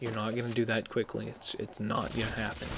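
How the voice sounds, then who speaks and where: A man speaks over noticeable background noise. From Scotland. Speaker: gameplay commentator. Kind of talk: live game commentary. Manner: monotone. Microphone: mono mic, a bit tinny.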